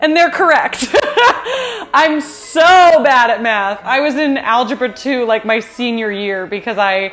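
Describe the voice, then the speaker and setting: A high-pitched woman with an American accent and lively intonation, at a fairly slow pace over background music. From US West Coast, San Fernando Valley, Los Angeles. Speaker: YouTuber, home baker. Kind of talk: casual Q and A vlog. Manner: chill, casual.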